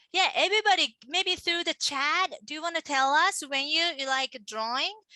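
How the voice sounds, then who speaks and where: A speaker with a Japanese accent uses a raised, projected voice with a bright, sharp tone, ordinary pitch variation and a moderate pace, in a dry, close sound with no echo. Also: woman, extremely high pitch for a woman. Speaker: manga artist. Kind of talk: casual chat. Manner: animated.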